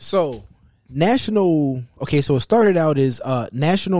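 A man talks in an ordinary speaking voice. His pace is moderate and his intonation lively. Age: 40s. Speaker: podcast host. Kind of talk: casual chat; reading aloud.

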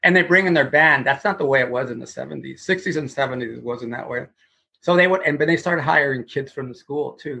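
A bright, sharp tone comes with vocal fry and ordinary pitch variation at a fairly quick pace. The loudness swings widely from moment to moment. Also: man, fairly high pitch for a man. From Houston, Texas. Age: 60s. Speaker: guitarist and guitar teacher. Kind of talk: casual interview chat.

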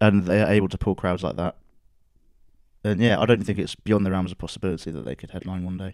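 Very fast speech from a man with a British accent, very deep and low in pitch, with fairly even intonation, on a very clean recording with a silent background. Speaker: podcast co-host. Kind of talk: casual chat.

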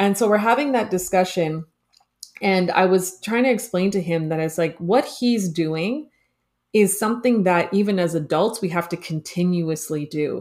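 A woman with a Canadian accent uses an ordinary speaking voice at a medium pitch. She talks at a moderate pace with ordinary pitch variation. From Toronto, Canada. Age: 30s. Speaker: career and business coach. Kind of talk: casual interview.

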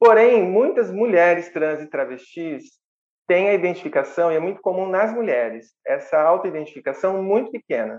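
Speaking in a plain, everyday voice, a woman uses lively intonation at a medium pitch and a moderate pace. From Brazil, small town, partly raised in São Paulo. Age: 40s. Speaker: psychologist, municipal official. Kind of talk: casual interview chat.

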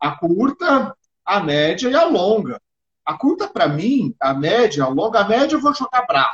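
At a fairly slow pace, the voice makes very wide pitch swings, recorded with a dry, close sound and no echo. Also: man, high pitch for a man. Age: 50s. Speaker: martial arts instructor. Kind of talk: casual interview.

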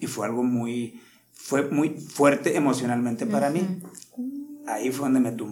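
A fairly high-pitched man at a fairly slow pace, with ordinary pitch variation and audible room echo. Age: 50s. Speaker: martial arts instructor. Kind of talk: interview.

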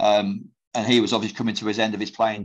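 A man at a fairly low pitch, monotone with flat intonation, at a fairly quick pace over a quiet background. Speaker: former football player and manager. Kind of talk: casual interview. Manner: halting, many fillers and repetitions.

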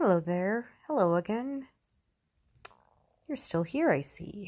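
A somewhat breathy voice with very wide pitch swings, at a very slow pace. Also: woman, medium pitch for a woman. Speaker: podcast host. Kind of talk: podcast monologue. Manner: halting, with long pauses; stuttering.

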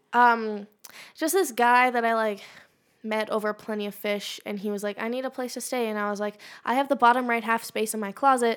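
A woman talks at a fairly quick pace with fairly even intonation in a plain, everyday voice. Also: fairly high pitch for a woman. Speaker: podcast co-host. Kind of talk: casual banter.

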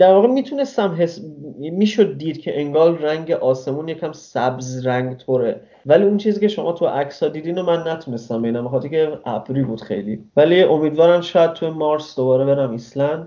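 With hardly any pauses, a man speaks in an unremarkable speaking voice at a fairly high pitch, using lively intonation and a fairly quick pace. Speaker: traveler. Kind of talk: interview.

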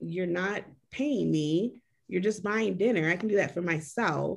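Using a plain, everyday voice, a woman talks at a moderate pace with lively intonation. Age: 40s. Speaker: single mom. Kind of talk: casual chat.

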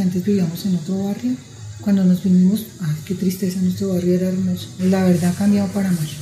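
A woman's medium-pitched voice at a fairly quick pace, with ordinary pitch variation, music in the background and audible room echo. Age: 50s. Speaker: seamstress. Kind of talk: interview testimony.

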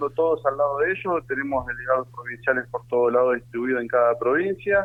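A man's voice over noticeable background noise. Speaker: trade union leader. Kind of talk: radio interview. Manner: animated.

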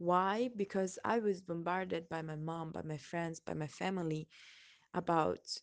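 A woman with an Italian accent talks at a fairly low pitch with fairly even intonation over a quiet background. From Italy. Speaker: person sharing a personal reflection. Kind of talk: personal testimony. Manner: hesitant, with frequent laughs.

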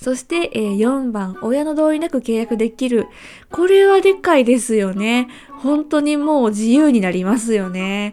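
A woman talks fairly slowly, her high pitch swinging across a very wide range. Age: 20s. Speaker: podcast host. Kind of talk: solo podcast talk.

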